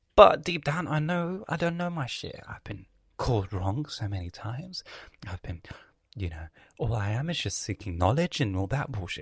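At a moderate pace, a man with a medium pitch and a somewhat breathy voice makes very wide pitch swings, recorded very cleanly against a silent background. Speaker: podcast host. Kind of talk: solo casual monologue. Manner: animated.

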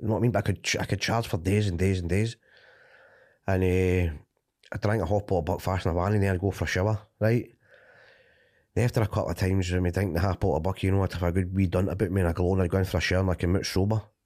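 A man with a Glasgow accent, very deep and low in pitch, very fast yet with long, frequent pauses, monotone and flat in intonation, at very even loudness in a very clean recording with a silent background. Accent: Scottish (Glaswegian area). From Scotland, Cumbernauld. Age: 30s. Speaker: recovering addict sharing story. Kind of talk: testimony.

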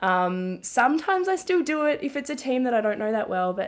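A woman talks at a moderate pace with lively intonation, captured in a very clean recording with a silent background. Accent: Australian. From Australia, Melbourne. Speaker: sports journalist and commentator. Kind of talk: casual interview.

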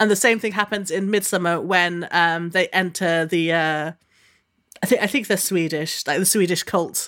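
Her tone is bright and sharp at a medium pitch for a woman. She talks at a moderate pace with fairly even intonation. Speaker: podcast host. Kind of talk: casual chat.

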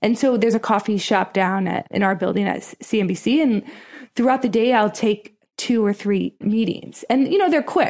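A woman speaks in a normal speaking voice with an American accent, fairly high in pitch. Her pace is moderate and her pitch variation ordinary. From Pennsylvania, US. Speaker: TV business reporter. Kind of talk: casual interview chat.

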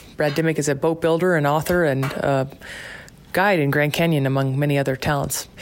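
A woman's fairly quick, fairly even-toned speech over noticeable background noise. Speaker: podcast host. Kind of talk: interview. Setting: kitchen at home.

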